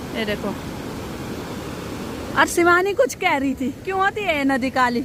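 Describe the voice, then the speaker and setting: A woman speaks with a high pitch. Noticeable background noise runs behind her. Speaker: village lifestyle vlogger. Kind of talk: casual vlog narration. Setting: outdoors, walking. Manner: chatty, animated.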